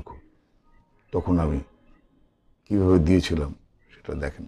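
A dark, mellow tone colors this somewhat breathy voice. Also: man. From Bangladesh. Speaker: voice actor. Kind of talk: interview answer. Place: home room. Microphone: phone near.

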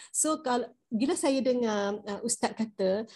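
A woman's dark, mellow tone at a fairly slow pace. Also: quiet background. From Malaysia. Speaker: study circle participant. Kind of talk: discussion. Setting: video call. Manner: halting, many fillers. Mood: calm, reflective. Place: home room. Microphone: video call.

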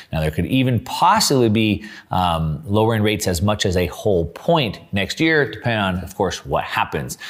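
The speaker keeps a moderate pace, with very wide pitch swings. The background is quiet. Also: man. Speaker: finance commentator. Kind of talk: commentary. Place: studio.

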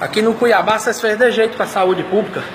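A man speaks at a fairly quick pace with ordinary pitch variation. Audible room echo and light background noise accompany him. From Mato Grosso, Brazil. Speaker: citizen filming a hospital. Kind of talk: angry selfie video rant. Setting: hospital emergency room corridor. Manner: loud; repetitive. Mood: outraged, insulting. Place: hall. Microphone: phone near.

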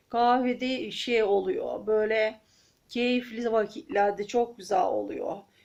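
A very slow delivery with ordinary pitch variation, in an Aegean accent. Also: woman. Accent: Aegean Turkish dialect. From Aegean region of Turkey. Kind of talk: casual talk to camera. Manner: chatty, friendly.

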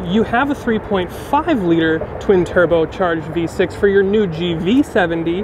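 A man talks at a high pitch with ordinary pitch variation. The sound is dry with no echo, with noticeable background noise. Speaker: car reviewer. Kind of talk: car review commentary. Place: street.

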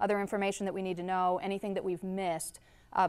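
The woman speaks at a very fast pace. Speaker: presenter. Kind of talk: public meeting presentation. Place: hall.

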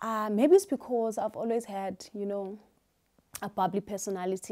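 The background is quiet. A woman speaks in a dark, mellow tone. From South Africa, Eastern Cape. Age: 30s. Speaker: YouTuber and beauty salon owner. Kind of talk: casual Q&A vlog. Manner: animated, energetic. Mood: cheerful, animated. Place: home room. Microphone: lapel.

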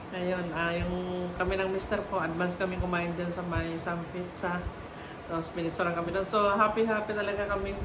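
At a fairly quick pace, a woman speaks in a monotone, flat voice, with audible room echo and noticeable background noise. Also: medium pitch for a woman. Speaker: vlogger. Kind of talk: casual vlog monologue. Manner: halting, many fillers.

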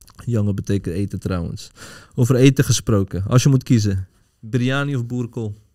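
Against a quiet background, a man speaks at a medium pitch with a dark, mellow tone. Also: ordinary pitch variation, moderate pace. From Netherlands, Pakistani family. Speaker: podcast host. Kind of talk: casual chat. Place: studio. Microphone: studio mic.

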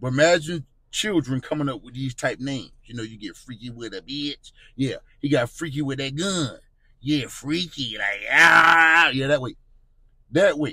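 A man speaks at a moderate pace with ordinary pitch variation and big swings in loudness. The sound is dry with no echo, against a quiet background. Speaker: street news commentator. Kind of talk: casual vlog commentary. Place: home room. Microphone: phone near.

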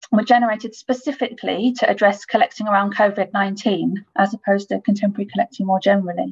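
Against a quiet background, a woman with vocal fry speaks at a fairly quick pace with ordinary pitch variation. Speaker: conference presenter. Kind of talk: presentation. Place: home room. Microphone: webcam.

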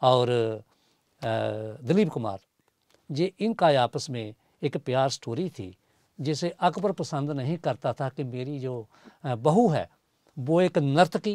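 At a very slow pace with long, frequent pauses, a man speaks with lively intonation, the sound dry with no echo and the background quiet. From Punjab, India (Pathankot); Punjab, India. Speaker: poet and lyricist; poet. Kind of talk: interview. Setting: studio. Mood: warm, reflective. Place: studio. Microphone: lapel.

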